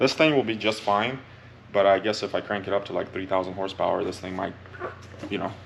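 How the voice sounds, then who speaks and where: At a very fast pace broken by long, frequent pauses, a man with a fairly low pitch and ordinary pitch variation speaks over noticeable background noise. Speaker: car tuning youtuber. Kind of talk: casual tutorial. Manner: animated.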